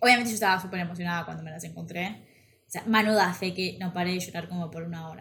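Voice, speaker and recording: At a very fast pace, a woman talks with fairly even intonation and a fairly low pitch. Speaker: podcast co-host. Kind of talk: casual chat.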